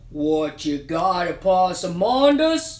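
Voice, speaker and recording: Put-on character voice at a middle pitch and a very slow pace. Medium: read story. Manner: doubtful, drawling.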